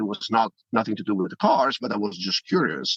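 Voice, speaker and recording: In an Italian accent, a man talks at a fairly quick pace, the sound dry and close with no echo. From Italy. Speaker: privacy tech company founder. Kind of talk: interview.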